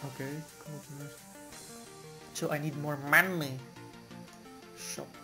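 With music in the background, a man talks at a fairly high pitch and with fairly even intonation. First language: not English. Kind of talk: gaming commentary. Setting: home with some background noise.

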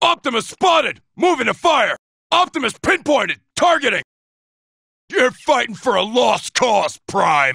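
A man uses a put-on character voice with an extremely high pitch. He speaks at a moderate pace. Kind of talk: video game combat barks. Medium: dub. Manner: cocky, taunting.

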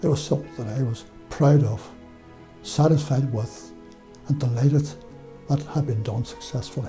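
With a Derry accent and a medium pitch, a man speaks at a moderate pace with lively intonation and long, frequent pauses while clear music plays in the background. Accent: Northern Irish (Derry). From Northern Ireland, Derry; Northern Ireland. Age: 80s+. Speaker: former electoral official. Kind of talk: interview. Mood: calm, proud reflection. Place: studio. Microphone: lapel.

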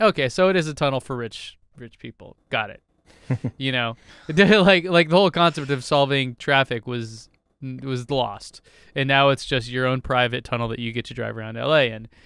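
Recorded dry with no echo against a quiet background, a man speaks at a moderate pace with ordinary pitch variation and big swings in loudness. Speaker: podcast co-host. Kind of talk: casual podcast discussion. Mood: amused, skeptical. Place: home room. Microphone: studio mic.

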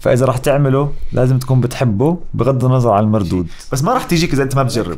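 A man speaks at a fairly quick pace. His loudness stays very even. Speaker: voice actor. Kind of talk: podcast interview answer. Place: studio. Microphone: studio mic.

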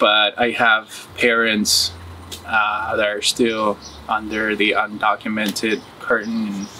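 Spoken at a very slow pace in a Spanish accent, the voice stays monotone and flat over light background noise. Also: man, fairly low pitch for a man. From Uruguay; moved to US at 14. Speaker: muralist. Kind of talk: interview testimony. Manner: casual. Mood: reflective, earnest. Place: garden.

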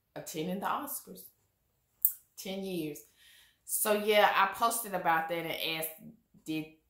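Against a quiet background with audible room echo, a woman speaks very slowly with ordinary pitch variation and long, frequent pauses. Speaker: vlogger. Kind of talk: casual vlog chat. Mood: animated, opinionated. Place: home room.

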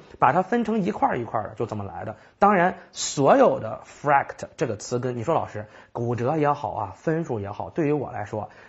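A man keeps to a moderate pace, and the background stays quiet. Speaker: IELTS vocabulary teacher; language teacher. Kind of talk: recorded lecture. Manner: conversational with frequent fillers. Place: studio.

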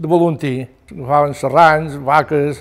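His intonation is fairly even. The man's pitch is fairly high. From Mallorca. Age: 80s+. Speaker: retired fisherman. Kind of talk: oral history testimony. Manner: halting. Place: home room.

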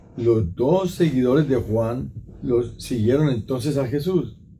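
The tone is dark and mellow. A man is talking, and he sounds somewhat breathy. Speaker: priest. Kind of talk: sermon reflection. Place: home room.

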